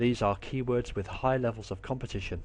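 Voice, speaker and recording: A very fast, somewhat breathy man in an English accent. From England. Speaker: online marketing teacher. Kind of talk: tutorial. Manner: clear, scripted delivery.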